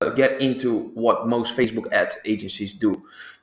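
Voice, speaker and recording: The speaker is a man. He talks with a Dutch accent. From Netherlands. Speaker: business owner, ad agency. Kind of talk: sales pitch. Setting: recorded video presentation. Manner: hesitant, many fillers.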